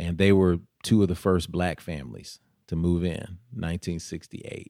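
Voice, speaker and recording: Over a silent background in a very clean recording, a man with an American accent speaks in a very deep, low voice. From US South, Nashville, Tennessee. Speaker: mayoral candidate. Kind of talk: interview.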